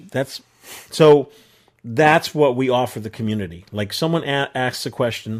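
Speaking with a New York accent, a man of medium pitch keeps a moderate pace and ordinary pitch variation. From New York area. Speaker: podcast host. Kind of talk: casual chat. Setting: video call.

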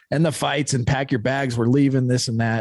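On a very clean recording with a silent background, a man with an American accent and a plain, everyday voice speaks at a medium pitch and a fairly quick pace. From Utah (Ogden). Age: 40s. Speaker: recovering addict, founder of a recovery organization. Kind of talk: casual chat. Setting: studio.

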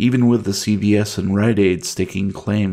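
The clip features reading aloud in a natural voice. Its intonation holds fairly even.

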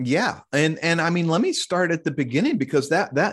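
A man with an unremarkable speaking voice, lively intonation and a moderate pace, in a dry, close sound with no echo and a quiet background. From US Midwest, Kansas City. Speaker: investigative reporter and author. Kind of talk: interview.

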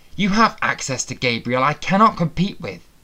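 Growling in a put-on character voice, a man speaks at a high pitch with very wide pitch swings and a moderate pace. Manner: snarling.

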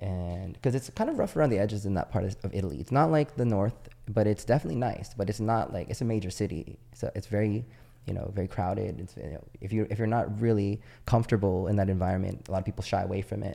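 A man with a fairly low pitch, vocal fry and a dark, mellow tone speaks at a very fast pace with ordinary pitch variation, recorded very cleanly against a silent background. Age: 30s. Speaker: podcast guest. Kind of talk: casual chat.

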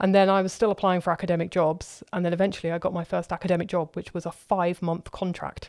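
A woman talks at a very fast pace in a southern English accent, with hardly any pauses. Her fairly low voice stays monotone and flat. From London, southern England. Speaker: professor. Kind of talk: interview.

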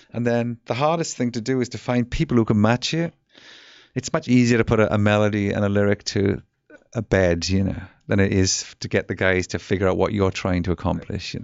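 Speaking with an English accent, the man has a fairly low pitch. His pace is fairly quick and his pitch variation ordinary. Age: 50s. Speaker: rock musician. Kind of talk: casual interview. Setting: studio.

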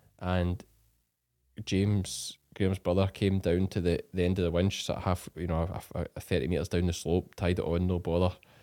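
With a Scottish accent, this speaker has a dark, mellow tone, a monotone, flat intonation and very even loudness at a moderate pace, recorded very cleanly against a silent background. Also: man, very deep, low pitch for a man. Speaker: farmer podcast host. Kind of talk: casual chat.

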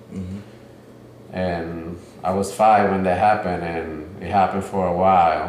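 A man with a Spanish accent and a very deep, low pitch speaks at a moderate pace in a monotone, flat intonation, with long, frequent pauses and noticeable background noise. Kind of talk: casual conversation about therapy. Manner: shy, halting.

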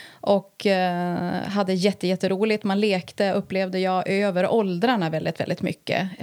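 Captured in a very clean recording with a silent background, a plain, everyday voice moves at a fairly slow pace. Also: woman. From Härnösand, Sweden. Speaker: violence prevention coordinator. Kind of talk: interview in her home.

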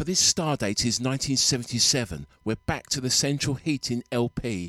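At a very slow pace, a man speaks in a warm, upbeat tone at a medium pitch. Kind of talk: radio dj patter. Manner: warm, upbeat, chatty and enthusiastic, with a smooth soulful DJ flow.

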